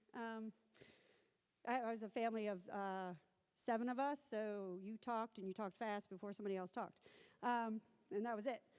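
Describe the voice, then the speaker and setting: A woman with a fairly high pitch speaks with an American accent. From US South. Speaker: researcher and academic speaker. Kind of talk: conference talk. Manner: fast.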